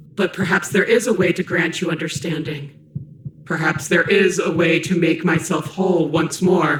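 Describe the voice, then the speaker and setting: Someone does a put-on character voice at a middle pitch and moderate pace, with a slight echo in the recording. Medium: video game. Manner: brooding, otherworldly.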